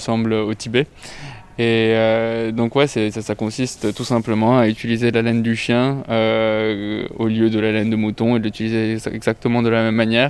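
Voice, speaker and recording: The speech is fairly slow, with monotone, flat intonation. Noticeable background noise is present. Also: man. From Lebanon. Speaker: fashion design student. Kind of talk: interview.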